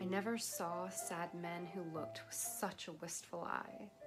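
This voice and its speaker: Over music in the background, a woman speaks at a fairly slow pace with a fairly low pitch. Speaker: poetry reader. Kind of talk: poetry reading.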